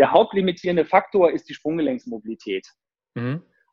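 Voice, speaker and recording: A man talks with a lively, bouncing intonation. His pace is fairly quick. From northern Germany (near Hildesheim). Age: 40s. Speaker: movement teacher and fitness coach. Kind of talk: casual interview. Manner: hesitant, repeats words.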